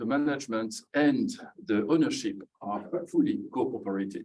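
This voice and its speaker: A man in a French accent, medium in pitch, with ordinary pitch variation at a fairly slow pace. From France. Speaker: audience member asking a question. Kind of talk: audience question at a book launch. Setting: event with live audience.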